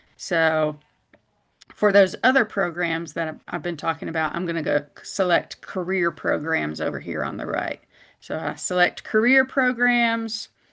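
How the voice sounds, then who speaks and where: A woman at a fairly low pitch with vocal fry, a bright, sharp tone, lively intonation and a moderate pace, against a quiet background. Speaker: college department head. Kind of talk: webinar presentation.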